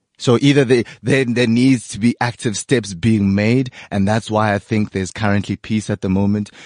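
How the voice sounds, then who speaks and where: It is a plain, everyday voice: a man with a fairly low pitch speaking at a moderate pace, with fairly even intonation and hardly any pauses. The sound is dry and close with no echo, and the background is quiet. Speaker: podcast host. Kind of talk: casual chat.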